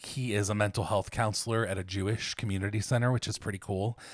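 Fairly quick and fairly low in pitch, a man with an American accent speaks in a normal speaking voice, recorded very cleanly with a silent background. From Ohio. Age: 30s. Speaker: podcast co-host. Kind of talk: casual chat.

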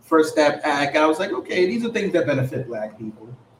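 Amid noticeable background noise, a man with an American accent speaks with lively intonation. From New York. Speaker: podcast host. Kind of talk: casual political debate. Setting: live stream on camera.

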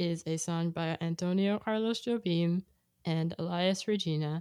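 In an American accent, a plain, everyday voice moves at a fairly slow pace with fairly even intonation, the sound dry and close with no echo on a very clean recording with a silent background. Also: woman. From California. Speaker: podcast co-host. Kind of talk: casual chat.

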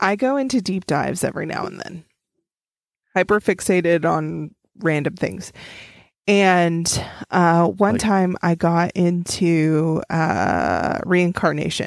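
Someone with an American accent speaks at a very slow pace with ordinary pitch variation. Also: woman, fairly low pitch for a woman, very clean recording, silent background. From Oklahoma. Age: 30s. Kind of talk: casual chat.

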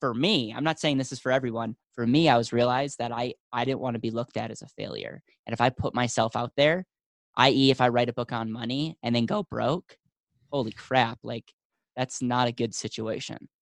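Delivered at a fairly quick pace with fairly even intonation over a quiet background, it is an ordinary speaking voice. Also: man, medium pitch for a man, dry, close sound with no echo. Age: 20s. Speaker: financial company founder. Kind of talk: interview.

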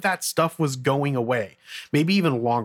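On a very clean recording with a silent background, the voice sounds dry and close, without any echo. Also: man. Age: 30s. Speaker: entrepreneur podcast host. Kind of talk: solo podcast monologue. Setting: home studio with mic and mixer. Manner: fast talker.

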